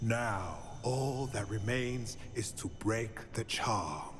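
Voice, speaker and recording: The speaker uses a put-on character voice at a very slow pace. Background noise is clearly audible. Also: man, medium pitch for a man. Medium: video game. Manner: measured, formal, grave.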